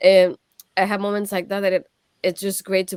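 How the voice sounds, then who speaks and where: A woman with a Puerto Rican accent speaks at a very fast pace. The sound is dry and close, with no echo. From Puerto Rico. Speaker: streamer and wrestling show co-host. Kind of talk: casual chat.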